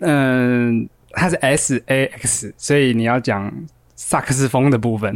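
At a very slow pace, a man talks at medium pitch with ordinary pitch variation. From Taiwan, Taipei (Yonghe). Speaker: podcast co-host. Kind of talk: casual chat. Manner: animated.

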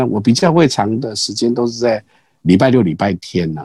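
With lively intonation and a medium pitch, a man speaks at a fairly quick pace. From Taiwan, Pingxi (New Taipei). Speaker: street performer and grass-weaving craft artist, retired executive. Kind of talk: casual interview. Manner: halting with many fillers and repetitions.

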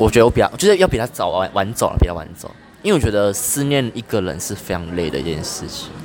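Over music in the background, a man talks at a very fast pace with a fairly low pitch, lively intonation and big swings in loudness. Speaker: podcast guest. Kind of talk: casual chat. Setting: coffee shop.

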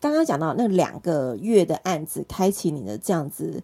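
A woman speaks fairly slowly, her pitch swinging very widely. The recording is very clean and dry, close with no echo, against a silent background. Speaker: podcast host. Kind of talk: scripted intro narration. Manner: animated.

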